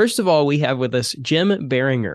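This man has an ordinary speaking voice. His fairly high pitch moves with lively intonation. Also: quiet background. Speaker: podcast co-host.

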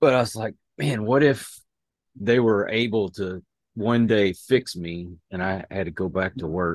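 A man speaks in an ordinary speaking voice, fairly low in pitch, with ordinary pitch variation. His pace is fairly slow, and the sound is dry and close with no echo. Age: 50s. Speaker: podcast host. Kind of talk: interview.

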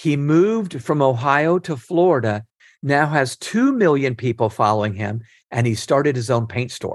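This man has an ordinary speaking voice at a fairly high pitch. His intonation is lively and his pace moderate. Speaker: leadership author and nonprofit founder. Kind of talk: interview.

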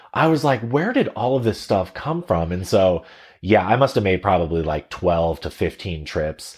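Lively intonation runs through speech at a moderate pace. The recording is very clean, with a silent background. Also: man, very deep, low pitch for a man. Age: 30s. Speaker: podcast co-host, marketing agency owner. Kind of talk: casual chat.

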